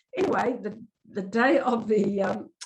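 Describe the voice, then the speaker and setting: This is a woman with a somewhat breathy voice. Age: 70s. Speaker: Māori cultural advisor and kaikaranga. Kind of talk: talk to a church group. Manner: hesitant, many fillers.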